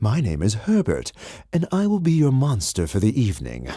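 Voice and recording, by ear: A man puts on a breathy character voice at a medium pitch. He speaks at a moderate pace.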